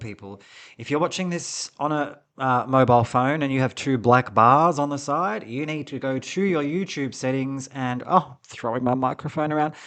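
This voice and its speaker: A man with an Australian accent talks at a moderate pace against a quiet background. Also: big swings in loudness. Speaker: podcast co-host. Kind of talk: casual chat. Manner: articulate.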